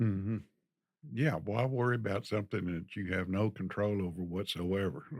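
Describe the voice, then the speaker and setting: A man talks in a Texan accent at a fairly low pitch. He keeps a moderate pace with ordinary pitch variation. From Texas. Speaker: retiree guest. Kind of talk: interview. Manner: hesitant.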